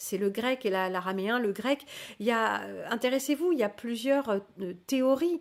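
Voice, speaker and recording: Lively intonation marks a woman's speech. The recording is very clean, and the background is silent. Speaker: livestream host teaching spirituality. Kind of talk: live stream reading and answering chat. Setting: live stream. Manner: hesitant, many fillers.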